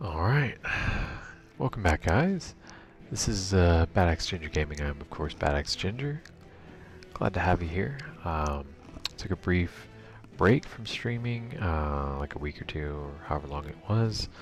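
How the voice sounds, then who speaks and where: Soft-spoken and at a fairly slow pace, a man with a very deep, low pitch makes very wide pitch swings and long, frequent pauses while music plays in the background. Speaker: gaming streamer. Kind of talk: live gameplay stream commentary. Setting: home bedroom. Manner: casual with many fillers; soft-spoken, talking quieter.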